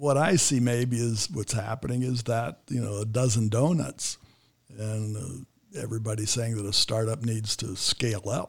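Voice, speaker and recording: This man has an American accent and a medium pitch, with ordinary pitch variation. His voice is somewhat breathy and his pace is moderate. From United States. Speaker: podcast host. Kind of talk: interview. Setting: studio.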